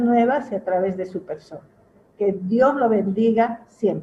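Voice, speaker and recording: A woman's voice sits fairly high in pitch, with a dark, mellow tone and a somewhat breathy sound. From Peru. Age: 70s. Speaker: pastor. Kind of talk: testimony.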